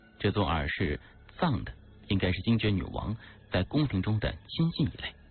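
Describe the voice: With lively intonation, the voice carries out plain reading aloud.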